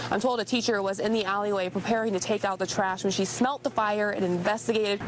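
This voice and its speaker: Over noticeable background noise, a woman with an American accent and a medium pitch speaks at a very fast pace. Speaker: multimedia journalist / TV reporter. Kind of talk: TV news reporter reel, on-air reporting and live shots. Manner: clear, polished broadcast delivery.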